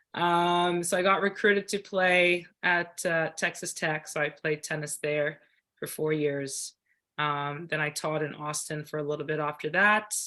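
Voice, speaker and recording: A bright, sharp tone comes through at a fairly slow pace on a very clean recording with a silent background. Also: woman, very deep, low pitch for a woman, fairly even intonation. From South Africa (Cape Town). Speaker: platform tennis champion and club tennis director. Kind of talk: podcast interview. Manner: casual, with many fillers.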